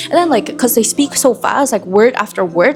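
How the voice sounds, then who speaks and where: A woman's fairly quick speech with a Southeast Asian accent and very wide pitch swings, over noticeable background noise. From Indonesia. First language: Indonesian. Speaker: student intern vlogger. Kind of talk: casual vlog chat. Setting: cafe. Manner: casual, filler-heavy.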